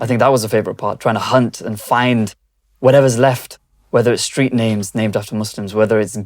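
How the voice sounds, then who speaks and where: A man with a British accent speaks at a very fast pace. His medium-pitched voice has monotone, flat intonation. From Britain. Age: young. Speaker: video journalist. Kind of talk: interview. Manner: hesitant, many fillers.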